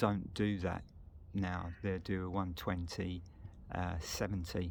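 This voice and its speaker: With a British accent, a man speaks at a very slow pace in a very deep, low pitch, his intonation monotone and flat. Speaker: motorcycle vlogger. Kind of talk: casual walkaround video. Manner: hesitant, many fillers.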